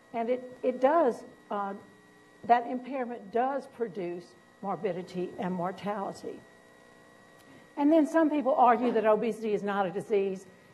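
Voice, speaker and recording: Pausing long and often, a woman with a fairly high pitch speaks in a Southern US accent amid audible room echo. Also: lively intonation, moderate pace. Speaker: physician and professor. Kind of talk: lecture.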